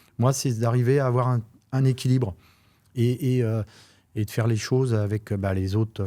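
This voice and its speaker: On a very clean recording with a silent background, a man with a dark, mellow tone speaks at a moderate pace with ordinary pitch variation. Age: 50s. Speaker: real estate agent. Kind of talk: interview. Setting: studio. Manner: halting.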